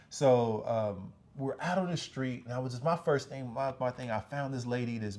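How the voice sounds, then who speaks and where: A man with a medium pitch speaks at a moderate pace, varying his pitch in an ordinary way. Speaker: business owner and channel host. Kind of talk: personal storytelling monologue. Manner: halting, many fillers and repetitions; casual.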